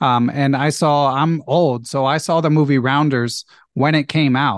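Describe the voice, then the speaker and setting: A man speaks in a Philadelphia accent with fairly even intonation. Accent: American (Philadelphia). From US, Philadelphia. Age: 40s. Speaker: chess podcast host, national master. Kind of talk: casual interview.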